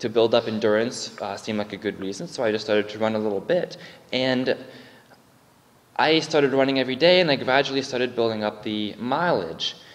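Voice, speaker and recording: The speaker is a man with ordinary pitch variation. He goes at a fairly quick pace. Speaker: lay preacher. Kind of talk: sermon. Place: church.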